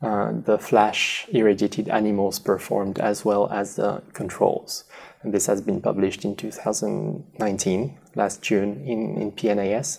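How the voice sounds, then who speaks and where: With a French accent and vocal fry, a man speaks very slowly at a fairly low pitch, with ordinary pitch variation and hardly any pauses. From southwest France. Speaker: radiation biology researcher. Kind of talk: interview. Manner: halting.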